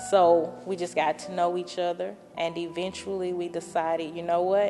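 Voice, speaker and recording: A woman with a Southern US accent speaks at a fairly low pitch. Her delivery is moderate in pace, with monotone, flat intonation. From Louisiana, Minden. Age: 20s. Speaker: testimony speaker. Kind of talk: testimony.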